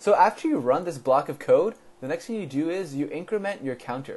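This man's voice is high, with very wide pitch swings. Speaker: coding tutor. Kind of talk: tutorial.

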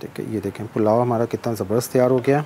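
Fast and fairly even in intonation, a man speaks at a medium pitch. His tone is dark and mellow.

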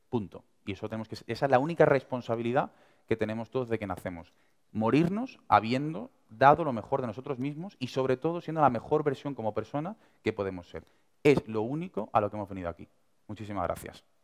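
Against a quiet background, a man with an Andalusian accent speaks at a very fast pace, his medium pitch rising and falling in lively intonation. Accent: Andalusian (Seville). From Seville, Andalusia. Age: 20s. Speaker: young entrepreneur and speaker; speaker. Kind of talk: motivational talk. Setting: stage with audience. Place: hall.

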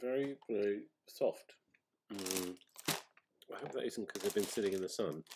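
A man talks at a very slow pace. Noticeable background noise can be heard behind him. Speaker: sweet taster reviewer. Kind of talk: casual review chat. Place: home room. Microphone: webcam.

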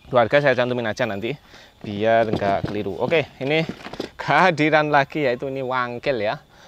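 A man speaks at a fairly quick pace in an upbeat tone, his medium pitch showing ordinary variation, with a dry sound with no echo and noticeable background noise. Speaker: knife sharpener and seller. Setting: video recording of knife showcase. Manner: brisk, upbeat, salesmanlike, pushing bargain prices; casual, repeats phrases, trails off with filler and 'ya' tags. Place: garden.

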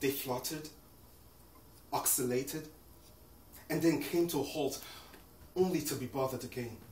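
A solemn tone with fairly even intonation at a moderate pace, broken by long, frequent pauses, with audible room echo. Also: man, fairly high pitch for a man. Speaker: poet. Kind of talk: performed poem. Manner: solemn, measured, emotive. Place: home room. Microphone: camera far.

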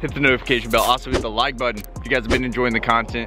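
The speech comes at a very fast pace, with faint music in the background and a dry sound with no echo. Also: man. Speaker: fishing vlogger. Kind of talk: casual vlog chat. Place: waterside. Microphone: phone near.

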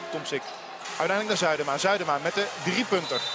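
A man speaks at a high pitch over loud background noise. The sound is dry, with no echo. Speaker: sports commentator. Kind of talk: live commentary. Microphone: headset.

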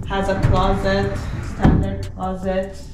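With clear music in the background and audible room echo, a woman speaks at a very slow pace. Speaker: homeowner vlogger. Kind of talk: casual house tour vlog. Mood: cheerful, upbeat. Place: empty room. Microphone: camera far.

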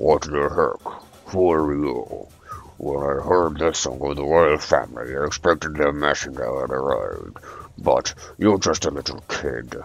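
A man's gruff, put-on character voice, very deep and low in pitch, at a moderate pace. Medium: game stream. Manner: gruff, angry, then jolly.

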